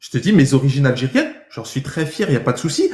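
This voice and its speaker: A man talks in an animated tone at a fairly quick clip. His voice sits fairly high and sounds somewhat breathy. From France. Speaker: livestreamer debating viewers. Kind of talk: heated debate.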